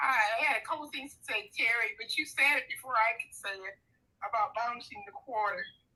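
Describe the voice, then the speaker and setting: Projecting a raised voice, a woman speaks high-pitched and fairly quickly, with a bright, sharp tone and very wide pitch swings. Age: 70s. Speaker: viewer calling in. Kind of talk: casual chat.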